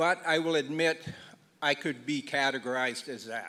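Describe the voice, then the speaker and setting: A man speaks at a fairly slow pace in an unremarkable speaking voice with ordinary pitch variation. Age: 60s. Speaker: Métis assembly delegate. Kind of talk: public meeting speech.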